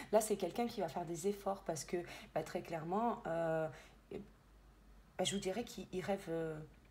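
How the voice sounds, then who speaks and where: A woman's medium-pitched voice shows ordinary pitch variation as she talks at a moderate pace. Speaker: medium and tarot reader. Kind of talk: tarot reading guidance. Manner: hesitant, many fillers.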